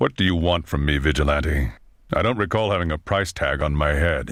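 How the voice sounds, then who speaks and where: Putting on a character voice, a man talks at a moderate pace in a very deep, low pitch. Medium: video game. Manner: formal, measured.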